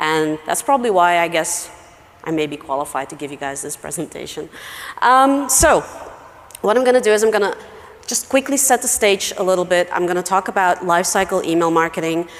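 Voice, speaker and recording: Over noticeable background noise, a woman with a fairly low voice talks at a fairly quick pace with lively intonation. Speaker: email marketing expert, conference speaker. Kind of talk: conference talk.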